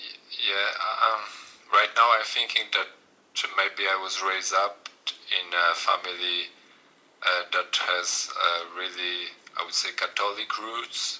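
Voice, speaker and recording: A man with a Polish accent speaks at a fairly slow pace, leaving long, frequent pauses. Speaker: coaching client. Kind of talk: coaching session. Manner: monotone; halting.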